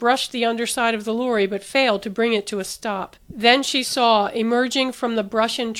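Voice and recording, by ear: Intonation stays fairly even as the text is read aloud in a natural voice.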